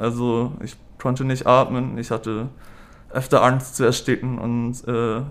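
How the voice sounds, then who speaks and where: The man's delivery is fairly slow and his intonation fairly even. He has a medium pitch. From northern Germany, Hamburg. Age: 30s. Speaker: patient, student. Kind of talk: interview. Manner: halting, many fillers.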